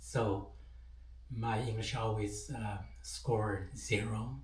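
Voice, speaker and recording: A man at a very slow pace, with audible room echo. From China, autonomous region. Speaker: entrepreneur sharing English learning tips. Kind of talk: personal story. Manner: halting, many fillers.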